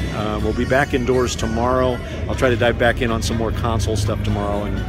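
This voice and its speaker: A man speaks at a fairly quick pace over background music. The sound is dry, with no echo. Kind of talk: casual vlog chat. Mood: relaxed, jokey. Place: stadium. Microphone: headset.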